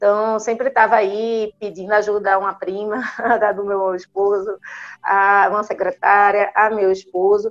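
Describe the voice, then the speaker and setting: In a monotone, flat delivery, a woman talks at a fairly slow pace and a medium pitch. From Brazil, Recife. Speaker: neurologist. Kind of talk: interview.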